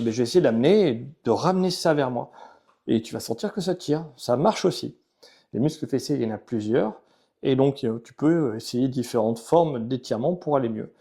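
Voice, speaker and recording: With a dark, mellow tone and medium pitch, a man uses lively intonation and big swings in loudness in a very clean recording with a silent background. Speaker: physiotherapist. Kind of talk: tutorial. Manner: fast; casual, informal.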